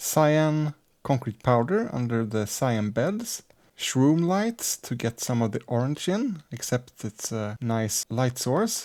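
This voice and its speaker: Soft-spoken and very slow, a man talks at medium pitch with lively intonation in a very clean recording with a silent background. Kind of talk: Minecraft let's play commentary.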